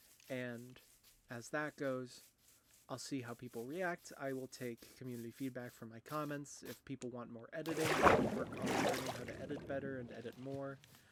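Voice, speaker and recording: A man at medium pitch over noticeable background noise, with fairly even intonation and a moderate pace. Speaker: gaming YouTuber. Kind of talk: let's play commentary. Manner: halting, many fillers.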